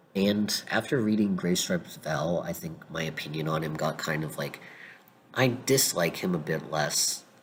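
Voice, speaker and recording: Noticeable background noise surrounds a man with a very deep, low pitch. He speaks at a moderate pace with lively intonation. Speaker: fiction fan commentator. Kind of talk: casual talk to camera. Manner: casual, many filler words.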